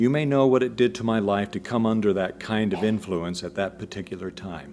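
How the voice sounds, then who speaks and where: He has a normal speaking voice with a fairly low pitch. He talks at a fairly quick pace. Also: ordinary pitch variation. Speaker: lecturer, broadcaster and public speaker on a historical figure. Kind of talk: lecture.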